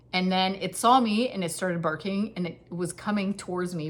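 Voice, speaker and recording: A woman at a medium pitch, somewhat breathy, talking at a fairly quick pace. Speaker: knitting podcaster. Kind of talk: casual chat. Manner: fast.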